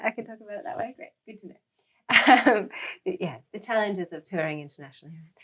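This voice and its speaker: A woman's fairly high, bright and sharp voice in an Australian accent, fairly quick, with very wide pitch swings. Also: big swings in loudness. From Australia, Melbourne. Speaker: indie pop musician. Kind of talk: casual chat, introducing a song.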